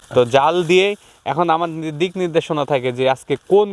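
With fairly high pitch and ordinary pitch variation, a man talks in an ordinary speaking voice. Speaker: young date-jaggery producer. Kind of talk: interview.

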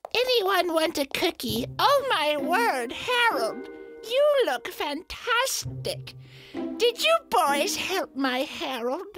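A woman speaks at an extremely high pitch with very wide pitch swings. Her pace is very slow, and faint music plays in the background. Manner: gentle, sweet, doting.

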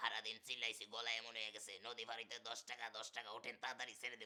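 A man does a put-on character voice, hoarse and medium-pitched, talking fairly quickly in a flat monotone.

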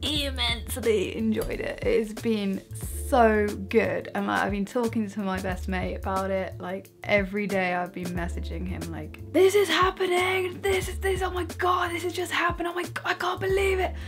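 Faint music sits in the background as a woman speaks at a moderate pace in a British accent. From UK. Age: 20s. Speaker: vlogger. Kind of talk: casual talk to camera. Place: home room. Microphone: camera far.

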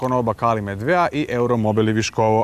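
The man talks at a fairly quick pace in a dry sound with no echo. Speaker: TV presenter. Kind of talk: presenter announcement. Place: garden.

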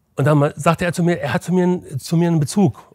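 Somewhat breathy, a man's voice comes through with a dry, close sound and no echo. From Berlin. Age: 60s. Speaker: former football goalkeeper. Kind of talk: interview.

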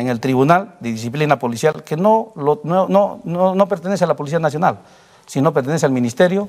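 A man's voice, fairly high in pitch, with very wide pitch swings. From Peru. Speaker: police colonel; guest. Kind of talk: interview. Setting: studio. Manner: halting. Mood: defensive, explaining his side. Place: studio. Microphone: lapel.

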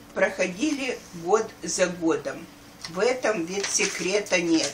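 A woman's medium-pitched voice, very slow, with lively intonation and noticeable background noise. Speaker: grandmother. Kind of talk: reading aloud. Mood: warm, festive. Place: home room. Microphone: camera far.

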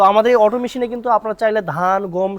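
The sound is dry and close, with no echo. A man speaks in an animated tone at a high pitch. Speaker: machinery seller and video host. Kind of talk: sales pitch.

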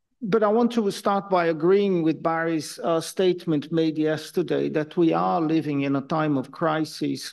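This woman has a plain, everyday voice, pitched fairly low, with ordinary pitch variation. She talks at a fairly slow pace against a quiet background. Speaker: keynote lecturer. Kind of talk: lecture. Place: hall.

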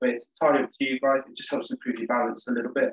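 Talking at a very fast pace, a man shows ordinary pitch variation. There is audible room echo, with a quiet background. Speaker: exercise instructor. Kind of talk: tutorial. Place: home room. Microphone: webcam.

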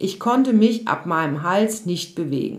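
Lively in intonation, a woman with a medium pitch speaks in a plain, everyday voice at a moderate pace. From Odenwald, Germany. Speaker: yoga and mental health coach. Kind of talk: personal storytelling monologue.

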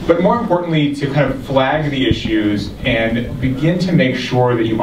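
A man talks at a moderate pace with ordinary pitch variation. Background noise is noticeable. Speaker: event host from an advocacy group. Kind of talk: opening remarks to an audience. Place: hall.

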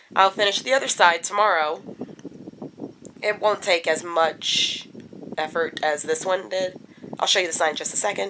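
A woman's fairly low voice, bright and sharp in tone, broken by long, frequent pauses. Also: ordinary pitch variation, moderate pace.

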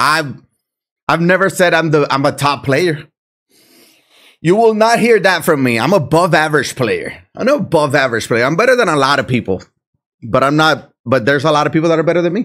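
Speaking in a Puerto Rican accent, the voice has lively intonation and very even loudness. It moves at a fairly quick pace. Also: man, fairly high pitch for a man, quiet background. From Puerto Rico. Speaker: video game streamer. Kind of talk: live gameplay commentary. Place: home room.

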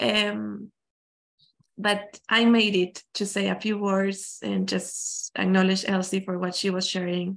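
Speaking very slowly with a non-native accent, the voice stays monotone and flat. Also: woman, medium pitch for a woman. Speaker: transformational coach. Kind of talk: personal testimony talk.

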